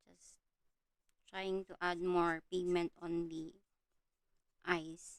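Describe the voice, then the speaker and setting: A woman with a Filipino accent speaks very slowly at a fairly low pitch. Her intonation is monotone and flat, broken by long, frequent pauses. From Philippines. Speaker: art livestreamer. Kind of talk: livestream chat while coloring. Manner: halting, many fillers.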